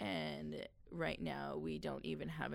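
Her voice very deep and low in pitch, a woman talks at a moderate pace. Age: 40s. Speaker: artist and nonprofit founder. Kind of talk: casual interview.

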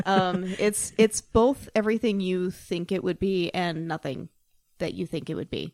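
In a plain, everyday voice, a woman with an American accent speaks at a moderate pace and medium pitch, with ordinary pitch variation and a dry, close sound free of echo. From Salt Lake City, Utah. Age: 30s. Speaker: podcast co-host. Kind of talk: casual chat.

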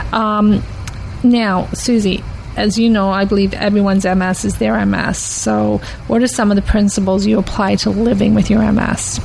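The speech moves at a moderate pace while noticeable background noise runs underneath. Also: woman. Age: 50s. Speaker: podcast host living with MS. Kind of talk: interview. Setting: studio.

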